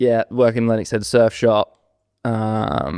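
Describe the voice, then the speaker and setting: Man with an Australian accent, fairly slow pace, dry and close sound with no echo. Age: 20s. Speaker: podcast co-host. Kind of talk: casual chat.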